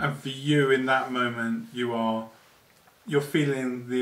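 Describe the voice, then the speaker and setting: This man has an unremarkable speaking voice, medium in pitch, talking at a fairly slow pace with fairly even intonation. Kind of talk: mock-documentary interviewer questions.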